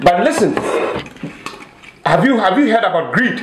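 A high-pitched man with a Ghanaian accent, fairly slow, with big pitch swings and strong room echo.

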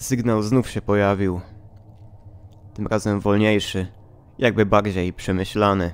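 With long, frequent pauses, a man with a fairly low pitch talks at a fairly slow pace in a monotone, with flat intonation. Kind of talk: read horror story narration.

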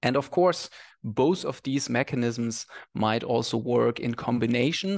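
The speaker uses vocal fry and ordinary pitch variation at a moderate pace over a quiet background. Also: man. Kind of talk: lecture. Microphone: headset.

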